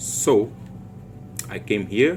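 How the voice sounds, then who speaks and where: Music plays behind a man as he talks. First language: Portuguese. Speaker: forex trader / trading YouTuber. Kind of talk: trading tutorial / chart walkthrough. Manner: halting, with frequent fillers and restarts.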